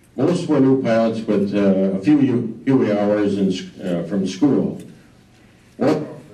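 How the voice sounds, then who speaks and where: A man with an Upper Midwest accent speaks very slowly at a fairly low pitch with ordinary pitch variation. Audible room echo surrounds his voice. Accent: Upper Midwest American. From Wisconsin, US Midwest. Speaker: war veteran. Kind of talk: talk to a local history audience. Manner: halting, many fillers.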